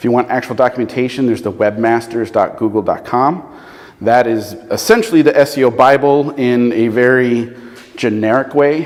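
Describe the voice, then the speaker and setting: A man speaks at medium pitch. Noticeable background noise runs behind him. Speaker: SEO consultant and presenter. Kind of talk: presentation with audience Q&A.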